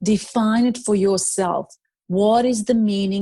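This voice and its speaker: In a very clean recording with a silent background, a woman with a non-native accent, medium pitch and a dark, mellow tone speaks at a fairly slow pace. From Serbia. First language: Serbian. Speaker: life strategist and motivational speaker. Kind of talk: interview conversation. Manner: halting, many fillers and restarts.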